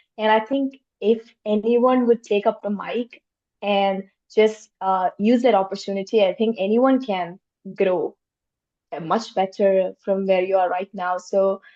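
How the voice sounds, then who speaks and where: A woman's medium-pitched voice at a fairly slow pace with fairly even intonation. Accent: non-native. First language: not English. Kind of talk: panel discussion. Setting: virtual roundtable.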